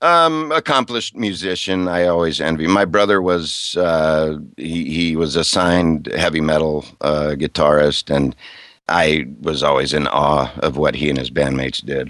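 Very deep and low in pitch, this man speaks at a moderate pace with ordinary pitch variation. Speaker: voice actor. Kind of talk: casual interview.

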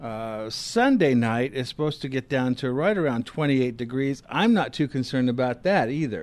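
Speaking in a normal speaking voice, a man keeps a medium pitch and ordinary pitch variation at a moderate pace, with hardly any pauses. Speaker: radio gardening show co-host. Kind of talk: call-in radio show. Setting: studio.

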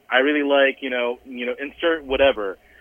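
Speaking fairly quickly with an American accent, a man uses an ordinary speaking voice at a medium pitch with ordinary pitch variation. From US South, Southern Virginia. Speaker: gaming chaplain, deacon. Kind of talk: interview. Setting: remote call into radio show.

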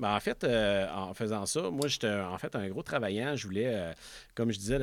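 The speaker has a Quebec accent. Pitch varies in an ordinary way. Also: man, very clean recording, silent background. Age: 30s. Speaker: motorcycle dealership owner. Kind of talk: interview.

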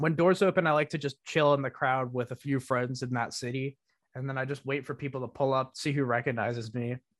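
In a very clean recording with a silent background and a dry, close sound with no echo, a man speaks in a plain, everyday voice at medium pitch, with fairly even intonation and a fairly quick pace. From US Northeast. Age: young (19). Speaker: music producer and DJ. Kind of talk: casual interview chat.

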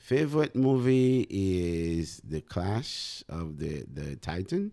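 Over a very clean recording with a silent background, a man with a Haitian accent speaks in a dark, mellow tone with lively intonation. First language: Haitian Creole. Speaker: math teacher. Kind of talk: interview.

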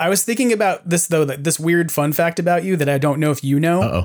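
A man with an American accent talks very fast. The recording is very clean, with a silent background. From New York. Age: 40s. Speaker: podcast host. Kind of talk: casual chat.

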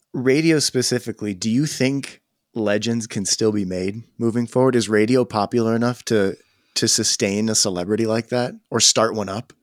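In an ordinary speaking voice, a man with a medium pitch talks at a moderate pace with fairly even intonation, recorded very cleanly against a silent background with a dry, close sound and no echo. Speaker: podcast host. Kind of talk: interview conversation.

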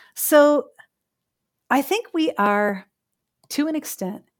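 This woman talks with a Chicago accent and lively intonation. The recording is very clean, with a silent background. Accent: Chicago American. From US Midwest, Chicago. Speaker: philosophy professor. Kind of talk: interview.

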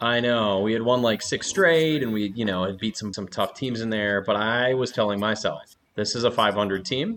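At a moderate pace, a man uses a normal speaking voice with medium pitch. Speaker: sports podcast host. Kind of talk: casual chat.

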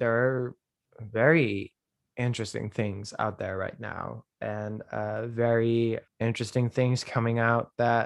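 Recorded dry and close with no echo and a quiet background, a man at a medium pitch talks at a very slow pace with fairly even intonation. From Netherlands. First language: Dutch. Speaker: dancer and actor. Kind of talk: interview. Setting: video call. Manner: halting.

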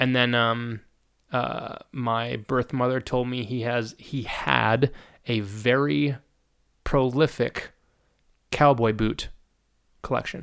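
With long, frequent pauses and a very slow pace, a man talks at a medium pitch on a very clean recording with a silent background. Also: ordinary pitch variation. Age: 30s. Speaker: musician. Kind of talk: casual chat. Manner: talkative.

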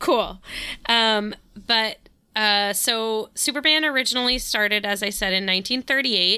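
A woman with an unremarkable speaking voice talks at a moderate pace, fairly high in pitch with ordinary pitch variation and very even loudness, in a very clean recording with a silent background. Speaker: podcast host. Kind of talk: casual chat.

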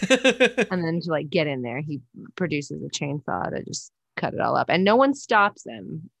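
A woman speaks with an American accent at a moderate pace, her pitch fairly low with very wide swings. The background is quiet, and the sound is dry and close with no echo. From Northern California. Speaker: comedian and producer. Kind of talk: casual chat.

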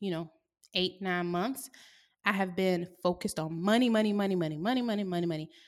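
In a very clean recording with a silent background, a woman with an American accent uses a normal speaking voice at a medium pitch with ordinary pitch variation. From US South. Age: 20s. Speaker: podcast host. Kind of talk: casual solo monologue. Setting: her co-working space.

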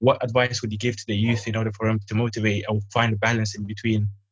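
There is music in the background as a man speaks. His fairly low voice stays monotone and flat. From Sudan. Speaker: youth organization founder. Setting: video call. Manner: halting.

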